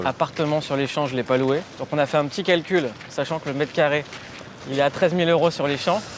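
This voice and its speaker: A man's fairly high-pitched voice at a very fast pace, with ordinary pitch variation and noticeable background noise. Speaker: interviewer, show host. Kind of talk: interview questions.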